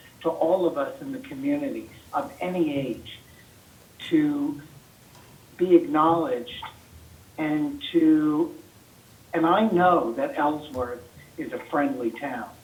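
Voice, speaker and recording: Delivered at a fairly slow pace, the voice has lively intonation against audible room echo. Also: man. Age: 60s. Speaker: community member speaking at public meeting. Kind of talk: public comment. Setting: city council meeting.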